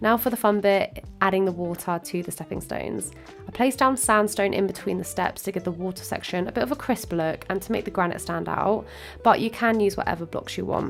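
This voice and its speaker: A woman's speech moves at a fairly quick pace. Behind her, music is playing. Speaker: Minecraft builder. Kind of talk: tutorial voiceover.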